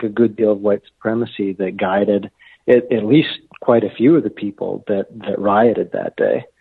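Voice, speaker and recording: Speaking at a moderate pace, the man has a medium pitch, ordinary pitch variation and a normal speaking voice. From Los Angeles, California. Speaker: history professor and author. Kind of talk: interview, call-in discussion.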